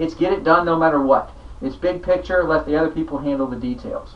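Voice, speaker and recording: Very fast, lively-toned speech from a man over noticeable background noise. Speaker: sales trainer. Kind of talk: training talk. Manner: changes pace and lowers voice for effect.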